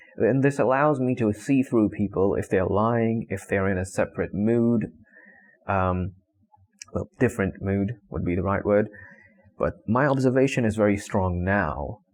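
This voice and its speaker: Speaking at a moderate pace with a non-native accent, a man uses a fairly low pitch with ordinary variation. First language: not English. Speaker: vlogger. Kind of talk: casual monologue. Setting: talking to camera. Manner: halting.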